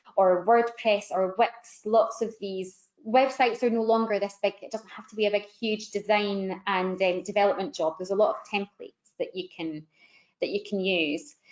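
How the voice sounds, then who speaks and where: The woman's voice sits at a medium pitch, and her intonation varies only a little. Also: big swings in loudness. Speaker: digital marketing consultant. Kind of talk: webinar panel discussion. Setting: online webinar. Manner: fast.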